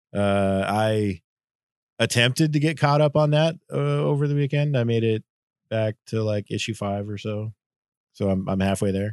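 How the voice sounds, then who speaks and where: A man with an unremarkable speaking voice talks at a moderate pace in a fairly low pitch with lively intonation, the sound dry and close with no echo over a quiet background. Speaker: comic book podcast co-host. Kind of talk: casual chat.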